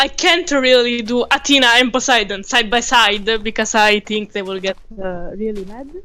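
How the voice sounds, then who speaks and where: A woman with an Italian accent, fairly high pitch, ordinary pitch variation, big swings in loudness, hardly any pauses and a moderate pace, with noticeable background noise. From Italy. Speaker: community member on call. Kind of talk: casual chat. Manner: halting, hesitant.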